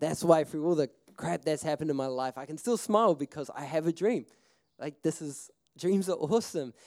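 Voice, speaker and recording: With a New Zealand accent, a man speaks in lively intonation, the sound dry and close with no echo. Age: 20s. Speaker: filmmaker and festival speaker. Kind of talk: seminar talk, personal storytelling. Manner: casual, animated.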